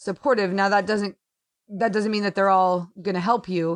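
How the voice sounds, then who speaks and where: Against a quiet background, a woman with an ordinary speaking voice talks at a fairly quick pace and medium pitch, the sound dry and close with no echo. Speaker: sports writer. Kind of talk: casual interview chat.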